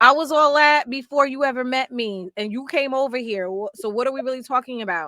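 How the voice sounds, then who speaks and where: A raised, projected voice, bright and sharp in tone, at a fairly quick pace with hardly any pauses and ordinary pitch variation, in a dry, close sound with no echo. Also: woman, high pitch for a woman. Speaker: podcast co-host. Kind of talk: casual chat. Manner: loud.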